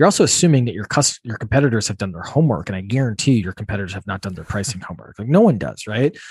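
Very fast, somewhat breathy delivery with hardly any pauses and big swings in loudness. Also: man, fairly low pitch for a man. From US Midwest, Wisconsin. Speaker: software company founder. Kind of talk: interview.

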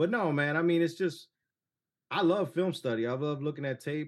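In an American accent, a man with an unremarkable speaking voice talks at a fairly quick pace with ordinary pitch variation. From Cleveland, Ohio. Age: 40s. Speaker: sports podcast host. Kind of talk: casual chat.

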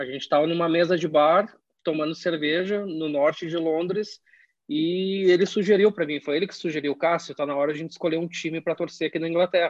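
At a very fast pace, a man speaks in a high pitch with fairly even intonation. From southern Brazil, Caxias do Sul (Rio Grande do Sul). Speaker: football fan. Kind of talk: casual chat.

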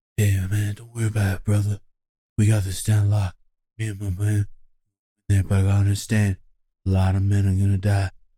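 In a breathy, put-on character voice, a man speaks at a fairly low pitch and a fairly quick pace with monotone, flat intonation and long, frequent pauses. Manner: cool, laid-back.

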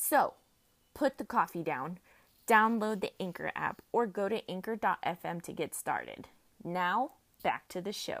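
A woman speaks fairly slowly in a plain, everyday voice, her pitch medium and her intonation lively. The recording is very clean with a silent background and a dry, close sound with no echo. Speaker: podcast host. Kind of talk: motivational pep talk, solo rant. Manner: upbeat, chatty, warm and encouraging; filler-heavy, casual.

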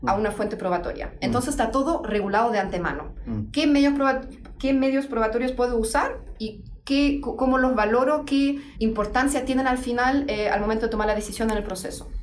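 This woman has a high pitch with ordinary variation and talks at a fairly quick pace. There is audible room echo. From Germany. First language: German (speaking Spanish). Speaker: legal researcher. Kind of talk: interview. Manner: halting.

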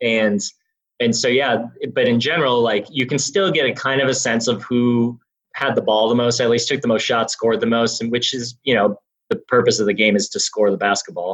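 A man with an American accent speaks at a fairly quick pace in an unremarkable speaking voice, his medium pitch moving with ordinary variation. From Wisconsin, Milwaukee. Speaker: basketball analytics director. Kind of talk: interview.

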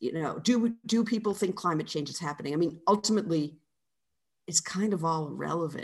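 With a somewhat breathy, fairly low voice, a woman speaks at a fairly quick pace and ordinary pitch variation. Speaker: author. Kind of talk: interview conversation.

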